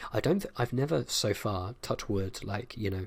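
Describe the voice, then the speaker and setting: A soft-spoken man with a British accent talks at a fairly low pitch, his voice somewhat breathy. The recording is very clean, with a silent background. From United Kingdom. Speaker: ASMR creator. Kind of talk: casual Q&A talk to camera.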